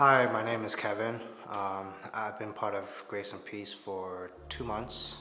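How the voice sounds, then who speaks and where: Over noticeable background noise and audible room echo, a man with an American accent talks at a fairly slow pace in a fairly low voice with monotone, flat intonation. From Chicago area, US Midwest. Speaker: church member. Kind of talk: testimony. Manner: hesitant, many fillers.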